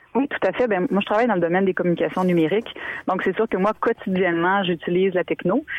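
A woman speaks at a very fast pace. Her loudness stays very even. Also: medium pitch for a woman, ordinary pitch variation. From Quebec, Montmagny region. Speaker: author. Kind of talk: interview.

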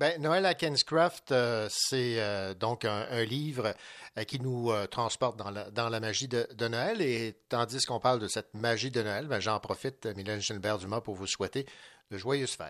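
A man's medium-pitched, ordinary speaking voice with ordinary pitch variation, over a quiet background. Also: fairly slow pace. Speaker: radio host. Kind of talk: radio book show hosting.

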